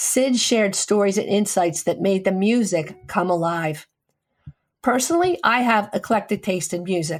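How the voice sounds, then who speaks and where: With very even loudness, a woman uses an ordinary speaking voice at a medium pitch with ordinary pitch variation. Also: moderate pace. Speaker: radio show host, physician. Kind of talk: radio tribute segment.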